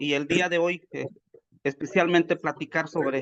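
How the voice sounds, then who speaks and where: A man's fairly high-pitched voice, dry and close with no echo, at a moderate pace with fairly even intonation. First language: Popoluca (Zoque) (speaking Spanish). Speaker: agronomist speaker at a workshop. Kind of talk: webinar presentation. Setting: video call. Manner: hesitant, many fillers.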